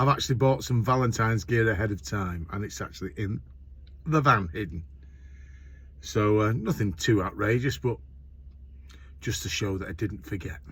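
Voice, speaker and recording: A man with a Lancashire accent and vocal fry speaks at a moderate pace with lively intonation. He takes long, frequent pauses. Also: fairly low pitch for a man. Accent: northern English (Lancashire). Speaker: courier van driver vlogger. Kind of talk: casual vlog monologue. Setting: driving in a van. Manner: loud, talking over road noise.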